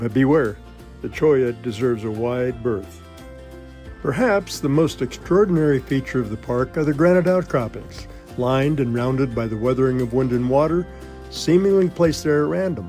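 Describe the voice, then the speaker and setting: Music plays in the background as a man with a medium pitch speaks with lively intonation. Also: moderate pace. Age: 80s+. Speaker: outdoor vlogger. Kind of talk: scripted narration.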